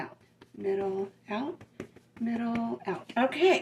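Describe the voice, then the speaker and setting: A woman's fairly high voice in a Southern US accent, at a very slow pace, with ordinary pitch variation. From Southern US (Alabama). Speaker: home cook. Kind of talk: casual cooking demonstration to camera. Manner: casual, chatty.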